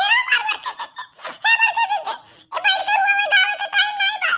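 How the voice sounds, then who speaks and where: Shouting in a cartoonish character voice, a woman goes at a fairly quick pace with an extremely high pitch. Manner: fast, repetitive, keeps calling out.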